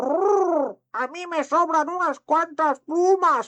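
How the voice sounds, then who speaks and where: A put-on character voice at an extremely high pitch. It moves at a very slow pace. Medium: read story. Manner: trills "brrr" between phrases.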